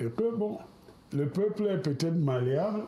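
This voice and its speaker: Lively intonation marks this man's fairly slow delivery. His tone is dark and mellow and somewhat breathy. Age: 70s. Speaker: politician. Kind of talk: televised political debate. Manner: hesitant, with fillers.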